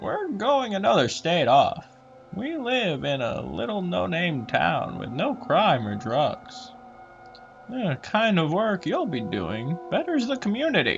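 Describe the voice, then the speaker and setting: A man's put-on character voice, high-pitched and fairly slow, over clear background noise. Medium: read story. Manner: monotone, dreary, calm.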